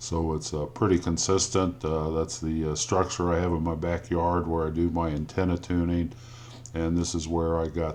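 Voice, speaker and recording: A man with an Indiana accent talks at a fairly slow pace in a very deep, low voice with ordinary pitch variation. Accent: Indiana drawl. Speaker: amateur radio operator. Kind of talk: technical how-to explanation. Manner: slow, hesitant with fillers.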